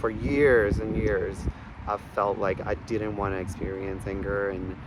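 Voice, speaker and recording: A soft-spoken man at a fairly low pitch and a fairly slow pace. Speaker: artist and video creator. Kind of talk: casual vlog monologue. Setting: outdoors in a park. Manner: halting, many fillers and restarts.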